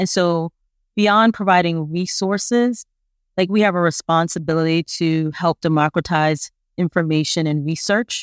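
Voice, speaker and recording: In a very clean recording with a silent background and a dry, close sound with no echo, a woman speaks in an unremarkable speaking voice at a fairly low pitch and a moderate pace. Her loudness is very even, and her pitch varies in an ordinary way. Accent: American. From Brooklyn, New York. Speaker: foundation program officer. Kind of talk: podcast interview.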